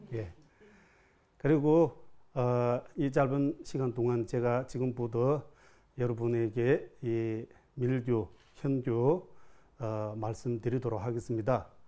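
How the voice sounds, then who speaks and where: A man with a Tibetan accent and a dark, mellow tone, at a very slow pace with long, frequent pauses. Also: medium pitch for a man, fairly even intonation. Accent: Tibetan-accented Korean. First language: Tibetan (speaking Korean). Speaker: Buddhist monk teacher. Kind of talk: dharma talk. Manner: halting.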